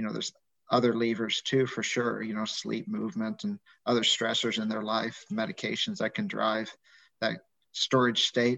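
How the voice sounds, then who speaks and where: The speech moves at a moderate pace. The sound is dry and close, with no echo. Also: man. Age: 50s. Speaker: physician and medical professor. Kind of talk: casual interview. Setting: video call.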